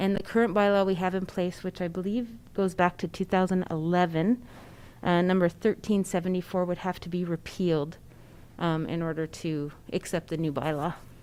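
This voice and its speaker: Soft-spoken and fairly low in pitch, a woman talks at a moderate pace with fairly even intonation. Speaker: county staff member. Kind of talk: council meeting presentation.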